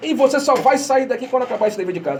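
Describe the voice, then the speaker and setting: The delivery has an animated tone. Noticeable background noise runs under it. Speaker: radio host of spiritist program. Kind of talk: radio talk on spirituality. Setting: radio studio, streamed live. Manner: fast.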